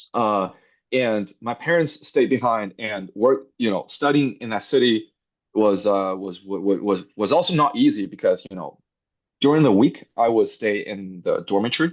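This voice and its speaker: A man speaks with a Chinese accent at a medium pitch. His intonation is lively and his pace moderate. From northwest China. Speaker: robotics startup founder. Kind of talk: interview. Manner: hesitant with fillers.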